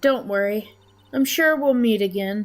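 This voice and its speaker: A woman does a put-on character voice with a fairly high pitch. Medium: game stream. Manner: composed.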